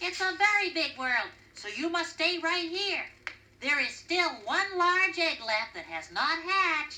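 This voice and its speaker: A woman puts on a character voice at an extremely high pitch. She talks at a fairly slow pace. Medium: read story. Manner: motherly.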